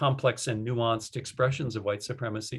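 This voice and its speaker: On a very clean recording with a silent background, a man speaks at a moderate pace in a somewhat breathy voice. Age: 60s. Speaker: retired professor. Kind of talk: interview. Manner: emphatic, uses repetition.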